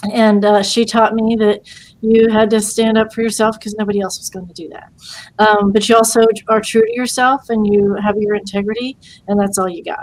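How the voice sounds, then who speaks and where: A woman with a US Midwestern accent speaks at a fairly high pitch and a fairly quick pace, her intonation monotone and flat, with big swings in loudness. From US Midwest, Portsmouth, Ohio. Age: 60s. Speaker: lawyer and veterans' advocate. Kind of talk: interview. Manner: halting.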